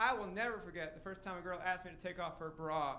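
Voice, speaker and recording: Here a man speaks fairly quickly in a high, bright and sharp voice. His pitch varies in an ordinary way, and room echo is audible. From Tennessee. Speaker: stand-up comedian. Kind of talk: stand-up. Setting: stage with audience.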